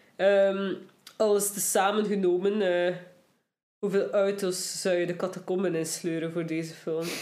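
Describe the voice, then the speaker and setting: Medium pitch from a woman, with a dark, mellow tone, monotone, flat intonation and a moderate pace. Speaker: podcast host. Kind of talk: casual chat. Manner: mouth-breathing, sniffly.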